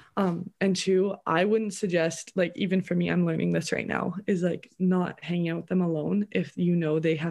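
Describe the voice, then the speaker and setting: A woman's fairly low voice with a Canadian accent, at a fairly quick pace with fairly even intonation. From Canada. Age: young. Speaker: podcast guest. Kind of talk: casual chat. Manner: halting, many fillers.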